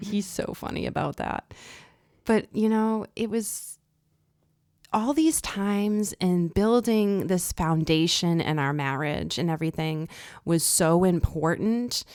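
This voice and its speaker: A woman speaks at a very slow pace, her fairly low voice showing ordinary pitch variation. The recording is very clean, with a silent background. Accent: American. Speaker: podcast co-host, military spouse. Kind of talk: casual chat. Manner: animated.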